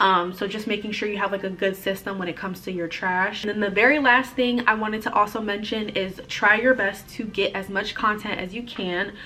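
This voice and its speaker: Against noticeable background noise, a woman talks at a fairly quick pace with hardly any pauses and fairly even intonation. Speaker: florist and vlogger. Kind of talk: casual tutorial vlog. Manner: fast.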